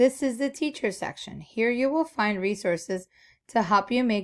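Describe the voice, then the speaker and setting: A woman with a Spanish accent speaks at a moderate pace with lively intonation. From Peru (Lima). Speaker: librarian. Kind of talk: tutorial. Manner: formal.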